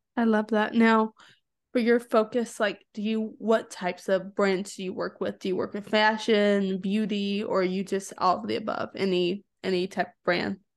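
Speaking at a moderate pace, a woman holds a medium pitch in a monotone, flat intonation. Her loudness swings widely. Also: quiet background. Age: young. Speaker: podcast host. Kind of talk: interview conversation.

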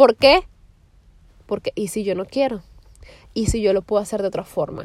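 Animated in tone, a woman speaks with ordinary pitch variation. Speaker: podcaster. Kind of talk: casual monologue. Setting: in a car.

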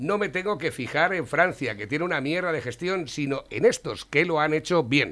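With a bright, sharp tone and fairly high pitch, a man speaks at a moderate pace with lively intonation and hardly any pauses. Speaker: radio host. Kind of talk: casual chat.

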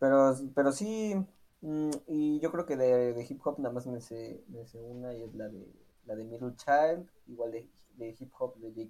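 A man with a Mexican accent, medium pitch, lively intonation, big swings in loudness and a fairly slow pace. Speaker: podcast co-host. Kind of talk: casual chat.

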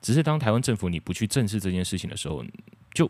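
The voice belongs to a man. Nothing can be heard behind him on this very clean recording. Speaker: podcast host. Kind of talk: solo monologue. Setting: recording alone at home. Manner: halting.

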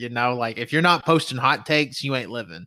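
Recorded very cleanly against a silent background, a man speaks with a bright, sharp tone in a slight Southern US accent. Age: 20s. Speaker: podcast host. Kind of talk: casual chat. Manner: nervous before starting, then relaxed.

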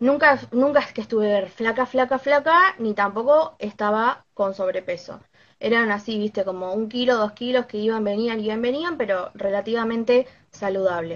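A normal speaking voice from a woman, fairly high in pitch, with ordinary pitch variation and a moderate pace. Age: 20s. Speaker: knitting content creator. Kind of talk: live stream interview.

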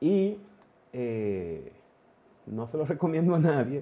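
A man's very slow voice, fairly high in pitch, with a dark, mellow tone. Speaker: amateur triathlete. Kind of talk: casual chat.

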